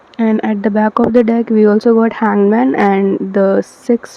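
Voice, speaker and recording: At a fairly slow pace, a woman with a non-native accent and medium pitch keeps a fairly even intonation amid noticeable background noise. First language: not English. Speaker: tarot reader. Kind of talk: tarot card reading to camera. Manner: hesitant, many fillers.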